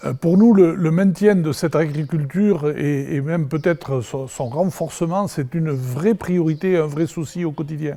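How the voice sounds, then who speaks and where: The voice has a dark, mellow tone. It moves at a fairly slow pace with hardly any pauses. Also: man, fairly high pitch for a man, ordinary pitch variation. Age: 60s. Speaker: village mayor. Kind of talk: interview, promotional speech.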